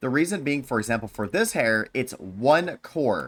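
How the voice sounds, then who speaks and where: Speaking at a moderate pace, a man has a medium pitch with very wide pitch swings. The recording is very clean, with a silent background. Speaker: gaming content creator. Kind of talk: tutorial; casual chat. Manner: unscripted with frequent fillers.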